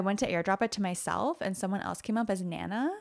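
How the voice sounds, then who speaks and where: Recorded very cleanly against a silent background, a woman at medium pitch speaks in an animated tone with ordinary pitch variation. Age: 30s. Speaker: podcast co-host. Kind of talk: casual chat.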